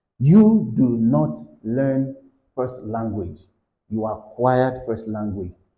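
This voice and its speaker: A man speaks at a very slow pace with audible room echo. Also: medium pitch for a man, ordinary pitch variation. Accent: Yoruba. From Nigeria, Yoruba. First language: Yoruba. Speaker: English tutor. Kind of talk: lecture. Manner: halting.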